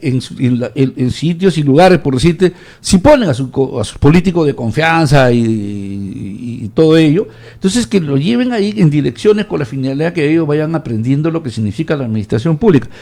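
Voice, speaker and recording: Fairly high in pitch yet dark and mellow in tone, a man's voice swings very widely in pitch at a fairly quick pace with hardly any pauses. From Peru, Ancash. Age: 70s. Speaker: professional, civic commentator. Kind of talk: radio interview.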